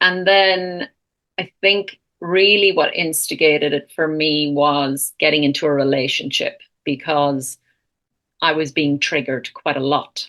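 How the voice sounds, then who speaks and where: A bright, sharp tone in an Irish accent, fairly slow in pace, with fairly even intonation. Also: woman, very deep, low pitch for a woman. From Ireland. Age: 40s. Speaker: counsellor and retreat founder. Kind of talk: podcast interview.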